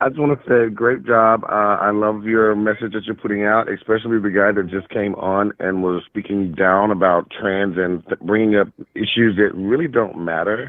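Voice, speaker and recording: A man speaks in a normal speaking voice, fairly low in pitch, with fairly even intonation. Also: moderate pace. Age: 40s. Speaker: caller. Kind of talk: phone-in call. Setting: phone call.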